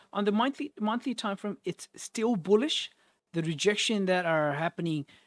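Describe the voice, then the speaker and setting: Mumbled speech at a moderate pace on a very clean recording with a silent background. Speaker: forex trading streamer. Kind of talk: live trading analysis stream. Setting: live stream. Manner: mumbling; casual, repetitive.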